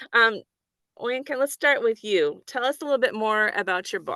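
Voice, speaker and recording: A bright, sharp tone at a moderate pace over a quiet background. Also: woman, fairly high pitch for a woman, dry, close sound with no echo. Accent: Midwestern American. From American Midwest. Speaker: panel moderator at a book event.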